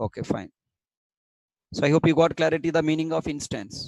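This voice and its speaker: Vocal fry marks this man's voice, captured in a dry, close sound with no echo. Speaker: programming teacher. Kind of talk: online lecture. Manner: slow.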